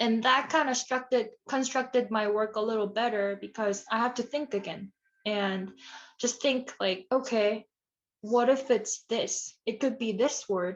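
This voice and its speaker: A woman speaks at a fairly slow pace with a fairly high pitch. Her intonation stays fairly even. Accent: Korean. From South Korea, Seoul. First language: Korean. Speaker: ceramic artist. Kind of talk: lecture Q&A. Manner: halting.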